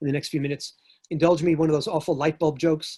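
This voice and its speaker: In a New York accent, a man talks at a fairly quick pace with monotone, flat intonation. The sound is dry and close, with no echo. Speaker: historian and professor. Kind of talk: lecture.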